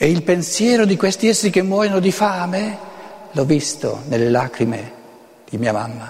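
Amid noticeable background noise and audible room echo, a high-pitched man swings very widely in pitch at a moderate pace, pausing long and often. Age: 70s. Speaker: author and lecturer. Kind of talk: lecture. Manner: halting.

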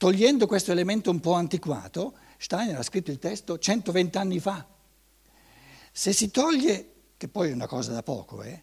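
A man's high-pitched voice with lively intonation and long, frequent pauses. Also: moderate pace, very clean recording, silent background. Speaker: lecturer on anthroposophy. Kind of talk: lecture. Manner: hesitant, many repetitions and fillers.

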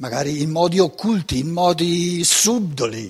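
At a fairly slow pace, a man talks with lively intonation and a somewhat breathy voice. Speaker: lecturer on philosophy. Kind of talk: lecture. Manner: halting, many fillers.

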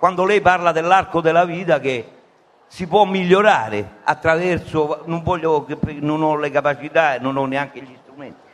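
Speaking at a moderate pace and a fairly high pitch, a man shows ordinary pitch variation and big swings in loudness. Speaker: audience member. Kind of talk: audience question. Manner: halting.

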